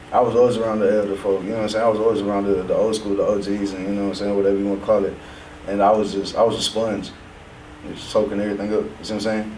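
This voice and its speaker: A man with an American accent and a fairly low pitch talks at a very fast pace in a monotone, flat way, with noticeable background noise and audible room echo. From south side of Houston, Texas. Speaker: rapper. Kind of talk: casual interview.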